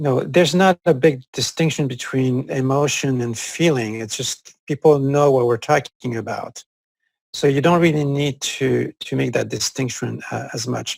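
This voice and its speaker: The man has a French accent, a medium pitch and a somewhat breathy voice. His pace is moderate with ordinary pitch variation, and the sound is dry and close with no echo. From Corsica, France. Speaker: psychologist. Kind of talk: interview. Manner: halting, with frequent fillers.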